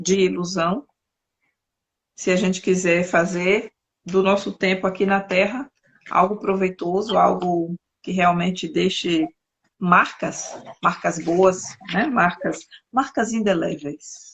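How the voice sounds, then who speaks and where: A woman speaks at a very slow pace and medium pitch, with long, frequent pauses. Her intonation is fairly even. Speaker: interviewer, talk show host. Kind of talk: interview conversation. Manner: halting, searching for words.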